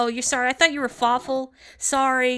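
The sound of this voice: In a put-on character voice, a woman speaks high and squeaky, monotone and flat, at a fairly quick pace on a very clean recording with a silent background.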